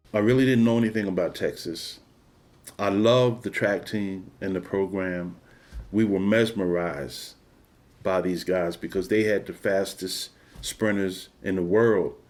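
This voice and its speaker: Someone with a Philadelphia accent speaks at a fairly slow pace with ordinary pitch variation, in a very clean recording with a silent background. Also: man, fairly low pitch for a man. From Philadelphia, Pennsylvania. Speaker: former college track athlete. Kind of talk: oral history interview answer. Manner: casual, reflective.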